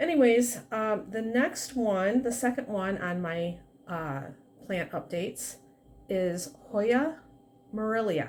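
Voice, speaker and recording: Her intonation lively and her pitch fairly high, a woman speaks at a very slow pace. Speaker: plant hobbyist vlogger. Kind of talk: casual plant update vlog. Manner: soft-spoken. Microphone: quiet recording, no external mic.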